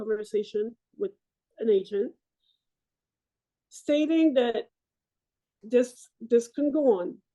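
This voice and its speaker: A woman with a strong French-Canadian accent and a fairly high pitch, dark and mellow in tone, with ordinary pitch variation at a fairly slow pace. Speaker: military veteran and Paralympic athlete. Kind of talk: interview testimony. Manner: halting.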